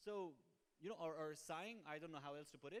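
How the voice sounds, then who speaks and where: Speaking fairly quickly, a man's voice sits high in pitch. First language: Hindi/Urdu. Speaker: sales trainer. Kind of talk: training talk. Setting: showroom with audience.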